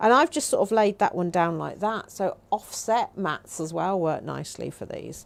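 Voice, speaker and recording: She talks with hardly any pauses. Her pace is moderate. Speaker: craft demonstrator. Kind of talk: live craft tutorial. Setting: livestream. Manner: casual, thinking aloud.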